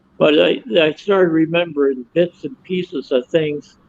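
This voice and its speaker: High male voice with ordinary pitch variation at a fairly slow pace. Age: 70s. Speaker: author. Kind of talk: testimony.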